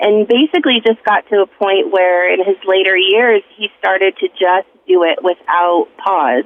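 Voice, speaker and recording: This woman has an ordinary speaking voice at a medium pitch, talking fairly slowly with ordinary pitch variation. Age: 40s. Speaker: radio call-in caller. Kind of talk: testimony.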